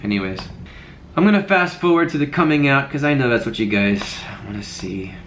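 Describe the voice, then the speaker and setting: Over noticeable background noise and audible room echo, a man with a fairly high pitch talks at a fairly quick pace, his pitch swinging very widely between long, frequent pauses. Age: 20s. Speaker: video blogger. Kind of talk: reaction commentary, casual chat.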